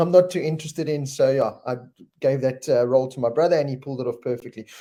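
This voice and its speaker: The voice has a dark, mellow tone. Its pitch varies in an ordinary way. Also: man. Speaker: motorsport show host. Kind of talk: live chat show answering viewer comments. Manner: casual, with fillers.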